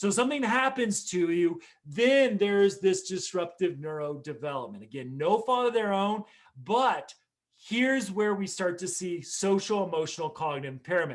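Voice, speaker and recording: His pitch is high for a man. He speaks at a moderate pace with lively intonation. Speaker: mental health professional and conference speaker. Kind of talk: conference keynote talk. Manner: loud.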